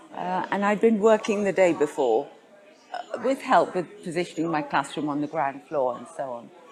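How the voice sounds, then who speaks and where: A woman speaks at a moderate pace with very wide pitch swings. Crowd noise carries in the background. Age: 60s. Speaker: cancer patient advocate. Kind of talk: interview. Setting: conference.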